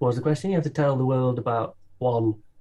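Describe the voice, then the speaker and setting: A man with a medium pitch and a dark, mellow, somewhat breathy tone speaks at a moderate pace with ordinary pitch variation. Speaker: musician and comedy performer. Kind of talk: casual chat, interview. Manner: laid back, chilled.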